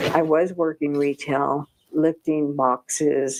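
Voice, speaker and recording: At a very slow pace, a woman speaks with a dry, close sound with no echo. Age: 70s. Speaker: retired widow seeking work. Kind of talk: testimony.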